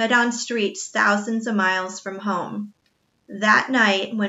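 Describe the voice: Plain reading aloud with fairly even intonation, over a quiet background.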